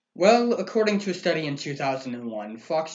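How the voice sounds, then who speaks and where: A man speaks at a moderate pace with very wide pitch swings. Noticeable background noise runs underneath. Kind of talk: satirical newscast co-host, comedic banter.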